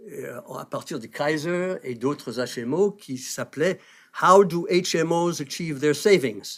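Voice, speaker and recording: On a very clean recording with a silent background, a man with a fairly high pitch speaks very slowly and with lively intonation. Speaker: health policy professor. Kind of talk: panel talk introducing a debate.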